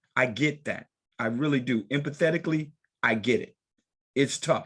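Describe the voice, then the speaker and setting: Against a quiet background, a man speaks in an animated tone at a moderate pace with ordinary pitch variation. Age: 60s. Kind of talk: group discussion.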